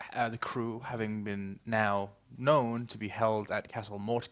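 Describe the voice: Fairly even intonation throughout plain reading aloud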